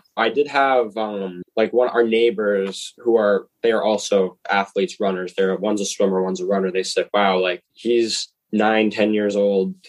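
With an American accent, a man speaks at a moderate pace in an unremarkable speaking voice with fairly even intonation. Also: fairly low pitch for a man. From Massachusetts. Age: 20s. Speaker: college runner. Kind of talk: interview.

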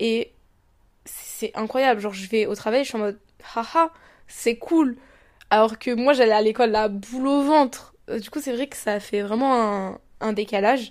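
Her fairly high voice carries ordinary pitch variation as the woman speaks at a fairly slow pace with long, frequent pauses, in a very clean recording with a silent background. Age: 20s. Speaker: podcaster. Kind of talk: casual monologue. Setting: lying in bed at home. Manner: hesitant, many fillers.

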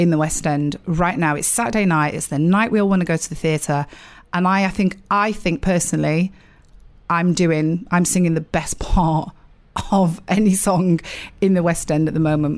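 Here a woman speaks with a Sheffield accent. Her pitch is fairly low. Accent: northern English (Sheffield). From Sheffield, South Yorkshire, England. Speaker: musical theatre actress. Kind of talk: casual interview. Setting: dressing room.

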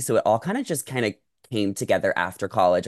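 A man with an American accent and an unremarkable speaking voice, fairly low in pitch, talks at a fairly quick pace in a dry, close sound with no echo over a quiet background. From US Northeast (Long Island, New York). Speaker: entertainment content creator and podcast host. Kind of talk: casual interview chat.

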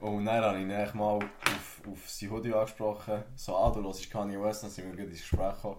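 Amid audible room echo and noticeable background noise, a man speaks in a fairly low pitch with monotone, flat intonation and big swings in loudness. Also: fairly quick pace. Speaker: podcast guest, student. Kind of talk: casual chat.

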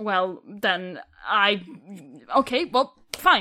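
Her pitch swinging very widely, a woman with a Swedish accent speaks in a bright, sharp tone. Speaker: tabletop game player.

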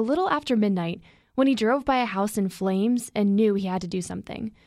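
A woman with an unremarkable speaking voice talks at a fairly high pitch with lively intonation. The recording is very clean, with a silent background. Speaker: journalism intern. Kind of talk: scripted narration.

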